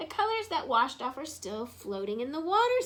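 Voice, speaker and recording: A woman does a put-on character voice pitched high, swinging very widely in pitch at a fairly quick pace over light background noise. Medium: read story. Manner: playful, cheery.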